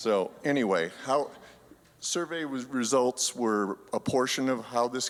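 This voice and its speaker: Over a silent background in a very clean recording, a man's shaky voice carries ordinary pitch variation. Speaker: church council member. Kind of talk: congregational meeting presentation. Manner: halting.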